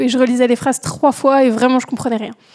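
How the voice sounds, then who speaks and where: A woman speaks with a high pitch. Noticeable background noise runs underneath. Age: 20s. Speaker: doctoral student. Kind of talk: recorded listener testimony.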